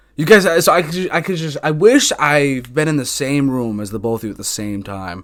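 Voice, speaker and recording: A man with a fairly high pitch talks with hardly any pauses, his pitch swinging very widely. His loudness rises and falls sharply against noticeable background noise. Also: fairly quick pace. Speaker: podcast host. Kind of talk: casual chat. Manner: fast; jittery.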